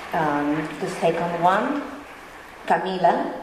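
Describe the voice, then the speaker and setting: Amid noticeable background noise and audible room echo, a woman with an Argentine accent speaks at a fairly low pitch with ordinary pitch variation. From Argentina. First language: Spanish. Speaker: conference speaker, bioethics committee member. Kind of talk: conference talk read aloud. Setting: conference hall with microphone. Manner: reading from script.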